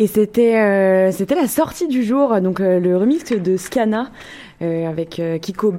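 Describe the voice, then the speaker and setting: A woman's medium-pitched voice with a dark, mellow tone and lively intonation, delivered at a very slow pace. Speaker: radio host. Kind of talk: casual chat. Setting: studio, live video. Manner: halting, many fillers and repeats.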